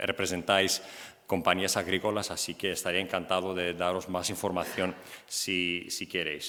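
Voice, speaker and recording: A man with a Greek accent speaks at a moderate pace in a very deep, low voice with a bright, sharp tone and monotone, flat intonation. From Greece. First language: Greek (speaking Spanish). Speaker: EU press officer. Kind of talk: conference presentation. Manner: halting, many fillers.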